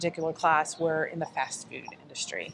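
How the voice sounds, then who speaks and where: Fairly low-pitched, this woman speaks with an American accent. Noticeable background noise runs behind her. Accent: slight Southern US, usually hidden. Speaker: nonprofit organization leader. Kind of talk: interview.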